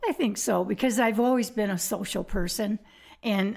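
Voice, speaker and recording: A woman at a medium pitch speaks at a moderate pace with vocal fry and ordinary pitch variation. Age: 70s. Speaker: retiree. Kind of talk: casual chat.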